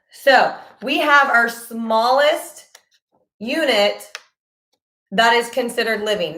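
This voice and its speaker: At a very slow pace, a woman speaks amid audible room echo. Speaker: middle school science teacher. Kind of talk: live online class teaching. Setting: YouTube livestream. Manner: casual, many filler ums.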